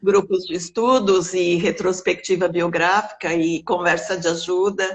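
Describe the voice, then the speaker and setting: In a calm tone, the speaker talks at a fairly slow pace with monotone, flat intonation. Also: woman, medium pitch for a woman. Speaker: biographical counselor. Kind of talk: interview.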